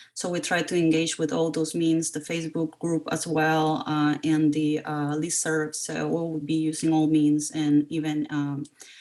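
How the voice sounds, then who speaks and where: Someone with a Spanish accent talks at a fairly slow pace in a monotone, flat intonation, with hardly any pauses. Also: woman, very deep, low pitch for a woman. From Costa Rica. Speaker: parent representative. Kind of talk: community meeting introduction.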